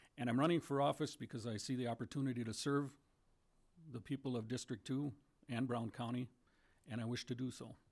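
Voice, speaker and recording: A man with an Upper Midwest accent talks at a fairly quick pace in a medium pitch, his intonation fairly even. He leaves long, frequent pauses against a quiet background. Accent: Upper Midwest American. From rural Minnesota. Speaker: political candidate, builder and farmer. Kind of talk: candidate forum opening statement.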